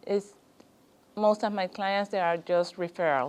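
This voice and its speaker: A woman at medium pitch, in a Spanish accent. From Guatemala. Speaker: small business owner. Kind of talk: business consultation interview. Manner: halting, hesitant.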